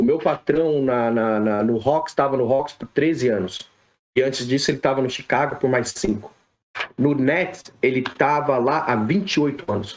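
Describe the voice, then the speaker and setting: This man has a plain, everyday voice. His pitch sits in the medium range with ordinary pitch variation. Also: moderate pace. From Brazil, São Paulo. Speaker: sports physiotherapist. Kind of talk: podcast interview.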